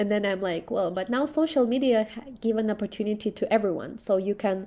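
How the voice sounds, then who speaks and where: A woman with a Russian accent, fairly high-pitched and fairly quick, ordinary pitch variation, music playing in the background. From Belarus. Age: 20s. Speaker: social media influencer and cultural ambassador. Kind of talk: interview.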